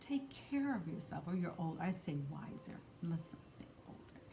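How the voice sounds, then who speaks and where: Against noticeable background noise, a woman talks at a moderate pace in a fairly low pitch. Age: 60s. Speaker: spiritual card reader. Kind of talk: card reading talk to camera. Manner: casual with frequent fillers.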